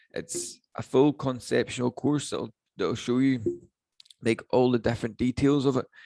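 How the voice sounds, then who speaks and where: A man with a Northern Irish accent speaks at a fairly slow pace. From Northern Ireland. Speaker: online business coach. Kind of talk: webinar training. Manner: casual, filler-heavy.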